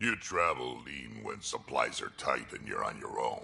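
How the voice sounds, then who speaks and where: The speaker uses a put-on character voice. It is growling. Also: man, moderate pace. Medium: video game. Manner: gruff, blunt.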